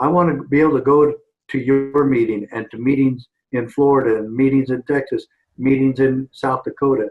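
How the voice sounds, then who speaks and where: Here is a man with an unremarkable speaking voice at a medium pitch. He keeps a moderate pace and fairly even intonation. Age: 60s. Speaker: former sheriff and activist. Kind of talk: interview.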